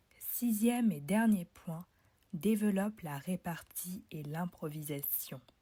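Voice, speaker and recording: A very slow, somewhat breathy voice with a dark, mellow tone and ordinary pitch variation. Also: woman, medium pitch for a woman. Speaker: podcast host, public speaking coach. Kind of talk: promotional announcement; solo podcast, instructional talk.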